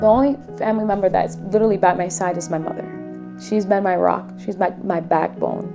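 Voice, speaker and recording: Music plays in the background as a woman speaks at a fairly quick pace. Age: 30s. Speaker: cancer patient. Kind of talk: documentary interview answer.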